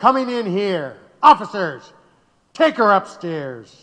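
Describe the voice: A man puts on a character voice, high for a man and fairly bright, swinging widely in pitch at a slow pace.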